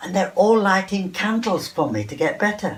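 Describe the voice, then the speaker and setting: Noticeable background noise runs under the recording. The speaker is a man. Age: 80s+. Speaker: textile artist. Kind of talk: interview.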